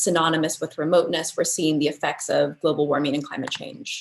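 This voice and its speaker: Speaking in an American accent at a fairly quick pace, a woman has an unremarkable speaking voice pitched fairly low. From United States. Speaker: architecture researcher. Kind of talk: lecture.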